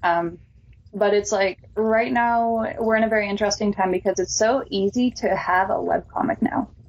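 A woman uses an ordinary speaking voice at a fairly high pitch with ordinary pitch variation. Her loudness stays very even at a moderate pace. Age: 20s. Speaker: illustrator and comic book artist. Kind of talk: casual interview.

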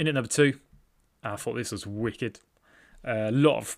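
A British accent at a moderate pace, with ordinary pitch variation, on a very clean recording with a silent background. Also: man. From Britain. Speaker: trading card podcaster. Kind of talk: casual solo commentary. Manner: hesitant, many fillers.

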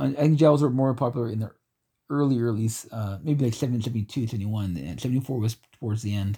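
A man speaks at a very fast pace with a medium pitch and ordinary pitch variation. His voice is somewhat breathy, with a dark, mellow tone. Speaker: horror movie podcast host. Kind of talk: casual chat. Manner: halting.

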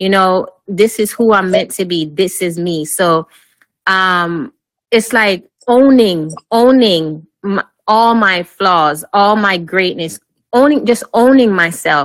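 Speaking very slowly, a woman uses a Jamaican accent at a medium pitch. Her pitch varies in an ordinary way. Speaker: life and wellness coach, retired army officer. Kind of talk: interview.

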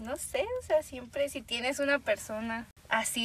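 A woman talks at a fairly slow pace in a somewhat breathy voice. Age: 20s. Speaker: medical student. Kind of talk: casual chat.

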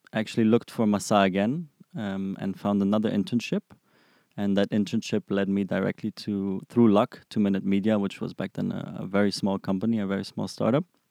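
Recorded very cleanly with a silent background and a dry, close sound with no echo, a man with a German accent speaks in a fairly low pitch and a dark, mellow tone at a fairly quick pace with fairly even intonation. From Germany, Frankfurt. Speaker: product manager. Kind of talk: interview. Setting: studio. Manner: halting, many fillers.

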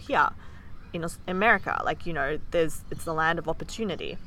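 A woman speaks at a fairly quick pace with a bright, sharp tone and ordinary pitch variation. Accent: Australian. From Australia. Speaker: podcast co-host. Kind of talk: casual chat.

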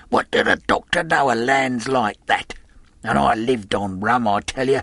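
A gruff, put-on character voice from a man, medium in pitch. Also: dry, close sound with no echo. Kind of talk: seafaring dialect. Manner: cursing, gruff.

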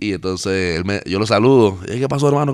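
A man's voice with ordinary pitch variation. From Panama. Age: 30s. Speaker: singer-songwriter. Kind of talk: interview. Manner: halting, repeats words.

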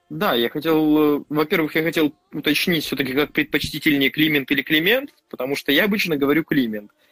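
A man with a normal speaking voice talks fairly quickly at a fairly high pitch, with ordinary pitch variation, very even loudness and a dry, close sound with no echo. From Vladivostok, Russian Far East. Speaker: podcast co-host, YouTuber. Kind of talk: casual chat.

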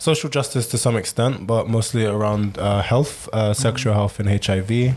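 The man's voice sits fairly low in pitch, with a fairly even intonation. Noticeable background noise runs under the recording. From Sierra Leone. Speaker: social activist and writer. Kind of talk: casual chat.

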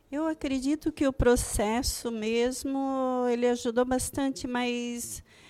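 On a very clean recording with a silent background, a woman speaks in a calm tone and a high voice. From Santa Catarina, Brazil (Joinville). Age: 50s. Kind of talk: testimony.

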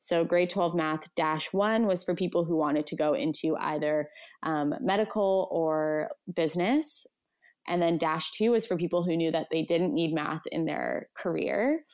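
On a very clean recording with a silent background, a woman with a Canadian accent speaks in a plain, everyday voice at a moderate pace, her pitch fairly low with ordinary variation and her loudness very even. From Canada, Edmonton. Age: 20s. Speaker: content creator and brand marketer. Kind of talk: casual interview chat.

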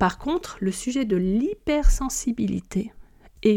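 Her voice has a dark, mellow tone, fairly high pitch and a somewhat breathy quality. The woman speaks very slowly with lively intonation. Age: 40s. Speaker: podcast host on hypersensitivity. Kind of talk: solo podcast monologue. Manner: hesitant with frequent fillers.

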